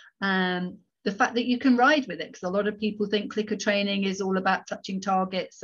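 Somewhat breathy, a woman talks at a fairly quick pace, her medium pitch showing ordinary variation. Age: 50s. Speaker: horse behaviour consultant. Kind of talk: interview. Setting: video call.

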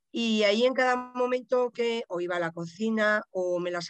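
Recorded with a dry, close sound and no echo, a woman speaks with ordinary pitch variation over music in the background. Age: 50s. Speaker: podcast listener and practitioner, works with her hands. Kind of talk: casual interview.

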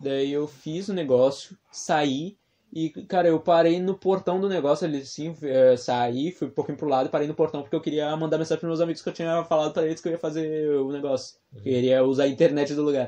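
Talking at a fairly quick pace, a man with a fairly high pitch and an unremarkable speaking voice keeps his intonation fairly even. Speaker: podcast co-host. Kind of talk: casual chat.

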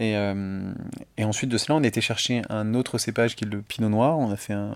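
Fairly even intonation from a man, at a moderate pace. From northern Île-de-France area near Chantilly, France. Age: 30s. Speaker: champagne house co-founder. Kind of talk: casual interview. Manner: halting, frequent repetitions.

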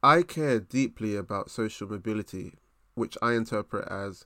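A man with a fairly low pitch and a South London accent, on a very clean recording with a silent background. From South East London. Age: 20s. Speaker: podcast host, management consultant. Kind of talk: solo motivational monologue.

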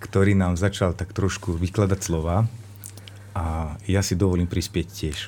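Flat, monotone intonation at a fairly slow pace. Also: man, very deep, low pitch for a man. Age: 40s. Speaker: teacher and workshop lecturer. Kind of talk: radio talk show discussion.

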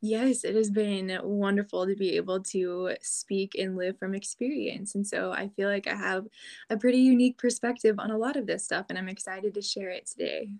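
A woman with an ordinary speaking voice talks at a moderate pace and medium pitch, with fairly even intonation, hardly any pauses, and a dry, close sound with no echo. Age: 20s. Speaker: former college athlete. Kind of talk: interview.

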